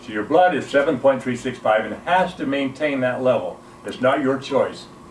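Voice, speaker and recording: A man at a fairly quick pace, with noticeable background noise behind him. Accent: American. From US, Utah (Salt Lake City). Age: 70s. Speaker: alkalinity health educator, Navy veteran. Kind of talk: informal health talk / product demonstration.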